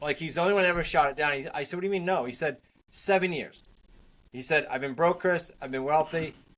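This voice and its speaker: Talking at a very fast pace, a man with a New England accent has a fairly high voice. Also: ordinary pitch variation. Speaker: real estate investor and coach. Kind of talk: interview.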